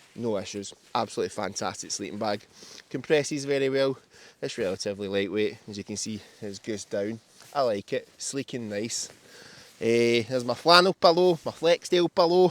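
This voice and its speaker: A loud man's voice in a Scottish accent, medium in pitch, at a moderate pace, with very wide pitch swings. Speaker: camper. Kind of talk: casual gear walkthrough. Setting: inside a tent outdoors.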